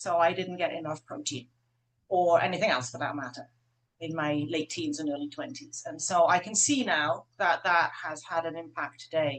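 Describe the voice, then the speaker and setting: With an unremarkable speaking voice, a woman talks at a moderate pace and fairly low pitch, her pitch varying in an ordinary way. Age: 60s. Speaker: herbalist. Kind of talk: webinar panel discussion. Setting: video call.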